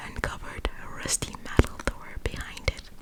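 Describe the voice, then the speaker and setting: A woman whispers fairly slowly amid noticeable background noise. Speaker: ASMR creator. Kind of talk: scary story reading, ASMR. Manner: whispered, soft.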